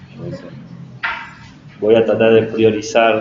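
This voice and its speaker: The voice is soft-spoken, with audible room echo and noticeable background noise. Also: man. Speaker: teacher-training lecturer. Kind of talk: lecture. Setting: classroom. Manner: slow.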